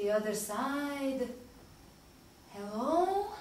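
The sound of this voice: A woman puts on a character voice, high in pitch with big pitch swings. She speaks at a very slow pace amid strong room echo.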